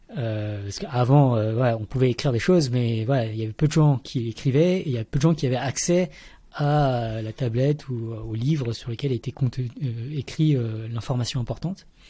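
A man speaks at a medium pitch and a moderate pace, his somewhat breathy voice dark and mellow in tone, with ordinary pitch variation on a very clean recording over a silent background. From Paris region, France. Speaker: mathematician and science communicator. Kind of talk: interview. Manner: halting.

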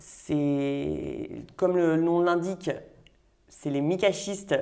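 A woman's voice with ordinary pitch variation. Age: 30s. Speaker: winemaker. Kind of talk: interview.

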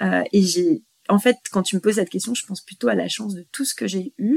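A woman with vocal fry, lively intonation and a moderate pace, in a dry, close sound with no echo. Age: 40s. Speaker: separated mother. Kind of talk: interview. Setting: at her home. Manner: halting, many repetitions.

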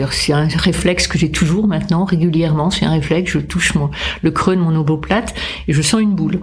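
The speech keeps a moderate pace. Noticeable background noise is present. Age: 70s. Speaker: cancer patient and writer. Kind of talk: testimony. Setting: studio.

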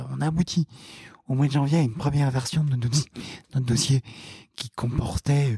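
Here a man talks at a fairly slow pace in a medium pitch, his dark, mellow tone somewhat breathy. His pitch varies in an ordinary way, and the recording is dry and close with no echo. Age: 20s. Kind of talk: interview. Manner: halting, many fillers and repeated words.

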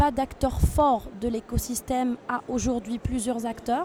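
This woman's fairly high voice unfolds at a very slow pace. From Tunisia. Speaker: international trade agency officer. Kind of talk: interview. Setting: tech trade show.

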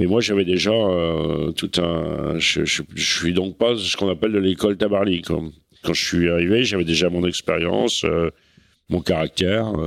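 A man with a very deep, low pitch talks at a fairly slow pace and very even loudness, his intonation fairly even. The recording is very clean, with a silent background. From Normandy, France (Cherbourg). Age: 60s. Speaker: veteran offshore sailor. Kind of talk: casual interview. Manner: halting, many repetitions.

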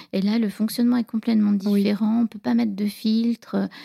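A woman's somewhat breathy, dark, mellow voice at medium pitch, in a monotone, flat intonation. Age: 40s. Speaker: divorced mother telling her love story. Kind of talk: personal storytelling interview.

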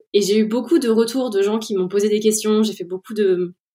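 A woman's fairly high voice with a dark, mellow tone, at a fairly quick pace. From central France, Orléans. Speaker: head of product at a software company. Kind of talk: interview.

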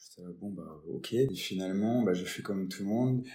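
A man speaks at a fairly low pitch with fairly even intonation. Noticeable background noise runs behind him. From Lorraine, France (Nancy). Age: 20s. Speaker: robotics entrepreneur. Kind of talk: interview. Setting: video interview. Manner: hesitant, repetitive fillers.

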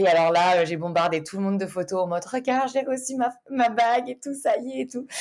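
A woman speaks at a fairly quick pace with hardly any pauses, her medium-pitched voice swinging very widely in pitch. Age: 20s. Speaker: business manager. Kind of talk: casual interview.

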